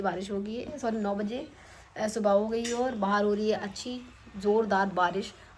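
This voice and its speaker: Audible room echo surrounds a woman's medium-pitched voice. She speaks at a moderate pace with fairly even intonation. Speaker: vlogger. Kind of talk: casual vlog.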